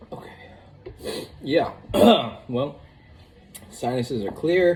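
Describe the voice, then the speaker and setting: A man puts on a raspy character voice at a fairly high pitch. He speaks very slowly. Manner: reacting to intense spice.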